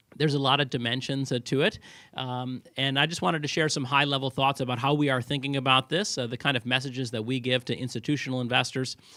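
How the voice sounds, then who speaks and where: A loud man's voice at medium pitch, very fast pace and fairly even intonation. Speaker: head of research at a crypto asset manager. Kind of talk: conference talk.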